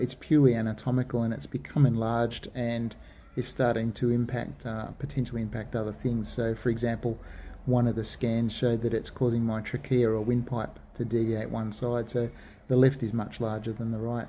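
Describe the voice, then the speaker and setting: A man with an Australian accent, medium pitch, and a dark, mellow tone, at a fairly quick pace with fairly even intonation. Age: 40s. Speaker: vlogger sharing surgery experience. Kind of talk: personal video diary. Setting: hospital.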